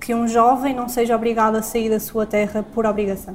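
A woman speaks in a flat, monotone way over noticeable background noise. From Portugal, Porto. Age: 20s. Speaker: law student. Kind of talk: interview questions. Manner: hesitant.

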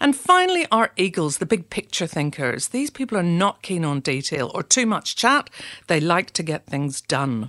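In a Northern Irish accent, a woman speaks at a moderate pace with a fairly low pitch. The very clean recording has a silent background and a dry, close sound with no echo. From Northern Ireland, Belfast. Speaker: leadership trainer. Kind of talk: scripted narration.

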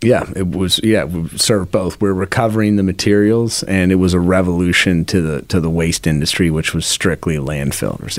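Hardly any pauses break the fairly quick speech, delivered with an American accent and ordinary pitch variation amid noticeable background noise. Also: man. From US Pacific Northwest, then England, then Philadelphia. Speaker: company co-owner, recycling business.

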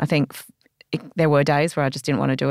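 With an Australian accent, a woman speaks at a very deep, low pitch with ordinary pitch variation, the sound dry and close with no echo. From Australia, Canberra. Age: 40s. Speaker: former magazine editor and entrepreneur. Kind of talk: interview.

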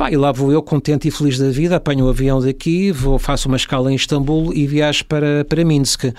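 A man's fairly quick delivery with hardly any pauses, monotone, flat intonation and very even loudness. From Portugal. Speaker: travel industry worker and traveller. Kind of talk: casual interview.

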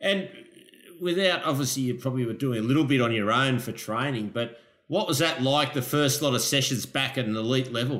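In an Australian accent, the speaker goes at a fairly quick pace with ordinary pitch variation, and audible room echo surrounds the voice. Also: man, medium pitch for a man. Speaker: podcast host, lifeguard. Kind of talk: casual interview.

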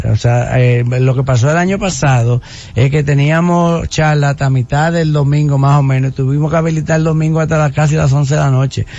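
A man with a plain, everyday voice speaks at a fairly quick pace with hardly any pauses. His pitch is fairly high, his intonation fairly even and his loudness very even. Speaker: government official. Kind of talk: radio interview.

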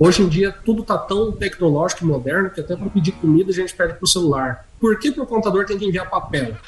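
Very fast, lively speech from a high-pitched man with hardly any pauses, over noticeable background noise. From Santa Catarina, Brazil, raised in Mato Grosso. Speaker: accountant. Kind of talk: interview.

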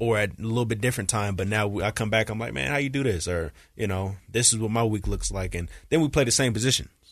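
Talking at a very fast pace, a man uses a fairly low pitch with ordinary variation. The background is quiet. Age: 20s. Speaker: college football player and podcast co-host. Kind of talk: casual chat. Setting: studio. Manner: animated.

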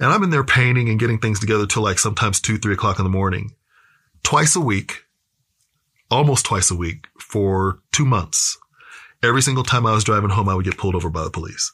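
A man with an American accent speaks at a very fast pace, his fairly low pitch carrying a bright, sharp tone. The recording is very clean, with a silent background. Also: ordinary pitch variation. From US Midwest, Kansas City. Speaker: speaker and activist. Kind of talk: interview conversation.

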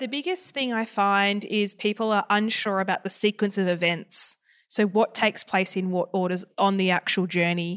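Speaking with an Australian accent, a woman keeps a moderate pace with hardly any pauses, medium pitch and fairly even intonation. The sound is dry and close, with no echo. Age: 20s. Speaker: buyer's advocate. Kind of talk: interview.

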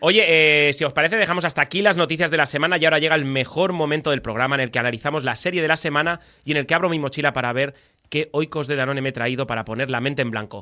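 Speaking at a very fast pace, a man has a bright, sharp tone. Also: fairly high pitch for a man, ordinary pitch variation. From Spain, Badalona (Catalonia). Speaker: radio host. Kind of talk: radio talk show.

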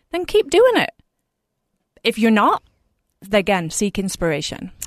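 The speech comes in an English accent at a moderate pace. The sound is dry and close with no echo, over a quiet background. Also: woman, long, frequent pauses. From England. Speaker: fashion blogger and influencer. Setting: studio.

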